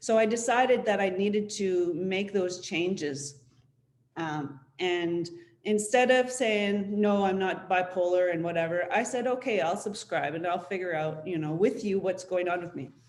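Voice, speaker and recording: A woman's medium-pitched voice at a moderate pace, with ordinary pitch variation and audible room echo. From Syilx territory, interior British Columbia, Canada. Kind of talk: panel presentation, personal testimony. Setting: online webinar panel. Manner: halting, frequent fillers.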